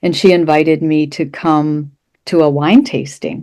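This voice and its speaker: The tone is dark and mellow, and the recording is very clean with a silent background. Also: woman. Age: 70s. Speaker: therapist. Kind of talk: casual chat.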